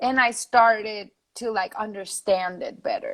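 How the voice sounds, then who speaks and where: At a fairly slow pace, a woman with a Spanish accent talks in a high pitch with lively intonation. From Spain, Madrid. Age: 20s. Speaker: singer-songwriter. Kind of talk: interview.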